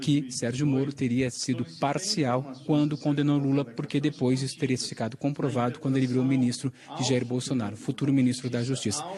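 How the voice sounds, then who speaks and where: Fairly quick, fairly even-toned speech from a man at medium pitch. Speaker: TV news reporter. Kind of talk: live news report. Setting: inside court building during a trial. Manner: speaking quietly.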